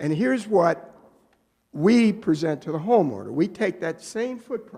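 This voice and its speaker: This man's dark, mellow voice swings very widely in pitch at a moderate pace. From Maryland, US (Annapolis). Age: 70s. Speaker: business owner presenting to town council. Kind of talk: public meeting presentation. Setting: town council meeting. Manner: halting, repeats words.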